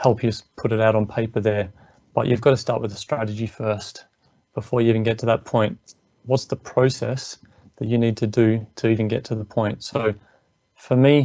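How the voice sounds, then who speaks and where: An Australian accent from a man at medium pitch and moderate pace, in flat monotone intonation. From Australia, Melbourne. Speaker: engineer and business coach. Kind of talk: webinar presentation. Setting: online webinar.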